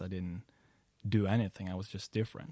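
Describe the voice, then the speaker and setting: A man talks at a fairly low pitch with a dark, mellow tone and fairly even intonation. The recording is very clean with a silent background and a dry, close sound with no echo. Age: 20s. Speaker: coach and business founder. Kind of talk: casual chat. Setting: host's apartment.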